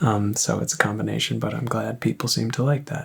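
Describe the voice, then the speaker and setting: Soft-spoken and relaxed, a calm man speaks fairly quickly at a medium pitch with fairly even intonation. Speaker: synth reviewer. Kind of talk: casual review talk. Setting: at home. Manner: soft-spoken, quiet; relaxed, calm.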